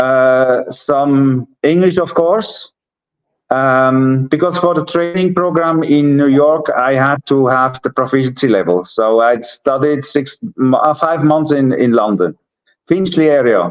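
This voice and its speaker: With very even loudness and ordinary pitch variation, a man talks in a fairly high voice. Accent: Swiss German. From Switzerland. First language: Swiss German. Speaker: entrepreneur. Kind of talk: interview. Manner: halting.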